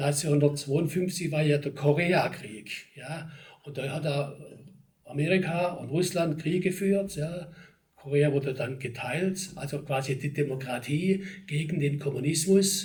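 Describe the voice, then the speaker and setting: A man with a Swabian accent, fairly high pitch and fairly slow pace, in audible room echo. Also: ordinary pitch variation. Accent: Swabian regional dialect. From Germany, Ostalbkreis area, Swabia. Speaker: local history society chairman, retired town official. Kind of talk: interview. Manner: conversational, with fillers.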